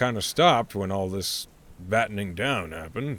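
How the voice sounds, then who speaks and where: In a put-on character voice, a man speaks raspy and fairly low-pitched at a moderate pace. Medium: actual play.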